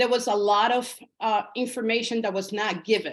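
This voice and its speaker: With a Spanish accent, a woman talks at a fairly slow pace in a fairly high pitch, her intonation fairly even. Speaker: realtor. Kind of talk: interview. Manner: hesitant, many fillers.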